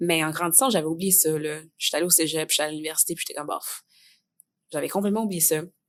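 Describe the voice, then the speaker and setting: Talking at a very fast pace, the woman uses a fairly low pitch and ordinary pitch variation. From Quebec, Montreal. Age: 20s. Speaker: theatre student. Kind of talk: podcast interview. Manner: casual, many fillers.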